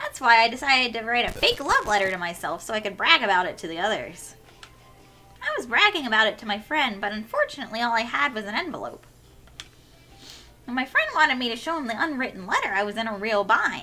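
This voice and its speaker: In a put-on character voice, a female-sounding voice with fairly high pitch for a woman talks at a very fast pace over faint music in the background. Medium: game stream. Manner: theatrical, playful.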